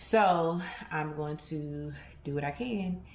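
A woman speaks with audible room echo. Music plays in the background. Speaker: vlogger. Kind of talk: casual vlog chat. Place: kitchen. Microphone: phone near.

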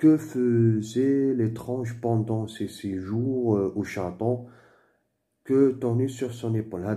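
A man's dark, mellow voice at a very slow pace. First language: Moroccan Arabic (Darija) (speaking French). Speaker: French teacher / tutor. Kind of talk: tutorial. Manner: halting.

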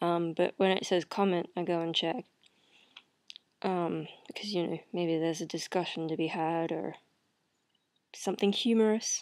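Fairly even intonation at a moderate pace, over a quiet background. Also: woman. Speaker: video blogger. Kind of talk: casual vlog chat. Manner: low, drowsy voice lying in bed. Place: home room. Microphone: webcam.

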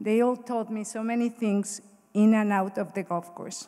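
Over a quiet background, a woman with a Mexican accent speaks at a medium pitch in a dark, mellow tone with monotone, flat intonation. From Mexico. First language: Spanish. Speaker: Hall of Fame inductee, former college golfer. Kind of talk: acceptance speech, read from prepared text. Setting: stage with audience at ceremony. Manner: emotional, slightly halting. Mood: grateful, emotional. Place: hall. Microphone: podium.

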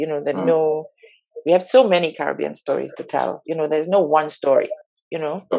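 Against a quiet background, a woman with a very deep, low pitch and a dark, mellow tone talks at a fairly quick pace with lively intonation and vocal fry. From Trinidad. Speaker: film director and producer; interviewee. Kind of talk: interview; interview answer. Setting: video call. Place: home room. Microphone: video call.

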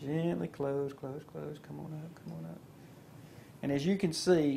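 Somewhat breathy, a man talks at a moderate pace with a dark, mellow tone. There is light background noise. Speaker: dentist instructor. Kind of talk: instructional demonstration.

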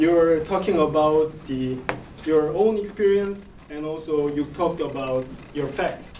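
With a Korean accent, a man talks at a fairly slow pace with ordinary pitch variation. Light background noise and audible room echo are present. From South Korea. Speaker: speech evaluator. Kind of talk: speech evaluation; speech evaluation in a second language. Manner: halting. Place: classroom. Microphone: camera far.

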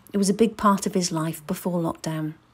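A woman with a somewhat breathy voice talks at a moderate pace, her medium pitch varying in an ordinary way. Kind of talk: casual interview questions.

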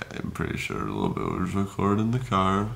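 Ordinary pitch variation in a man's speech. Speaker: vlogger after wisdom tooth surgery. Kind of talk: casual vlog chat. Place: home room. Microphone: phone near.

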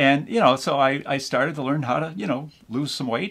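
Very fast speech from a man with vocal fry and an American accent. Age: 60s. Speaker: seasonal Santa performer. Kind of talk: casual talk to camera. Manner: rambling, folksy, hesitant. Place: kitchen. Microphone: camera far.

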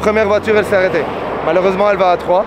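A man's voice in a dry sound with no echo, with noticeable background noise. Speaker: travel vlogger hitchhiking. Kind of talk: casual vlog chat. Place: street. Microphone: phone near.

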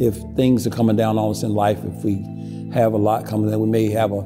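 Clear music sits in the background as a man speaks at a fairly quick pace. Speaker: museum executive director, local storyteller. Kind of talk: storytelling on camera, local history narration. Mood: solemn, reflective. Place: church.

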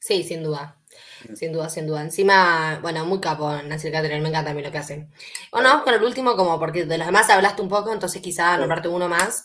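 A woman's bright, sharp voice, fairly low in pitch, with ordinary pitch variation and a very fast pace. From Mendoza, Argentina. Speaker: interviewer. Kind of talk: interview. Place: home room.

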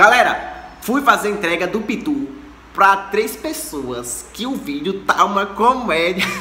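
A man speaks in a raised, projected voice at a fairly slow pace. Audible room echo and light background noise surround him. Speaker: channel host. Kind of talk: casual vlog chat. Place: home room. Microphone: phone near.

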